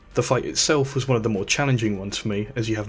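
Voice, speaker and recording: Over music in the background, a man speaks with a fairly low pitch. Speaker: game reviewer. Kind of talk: video game review narration. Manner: unenthusiastic, dry.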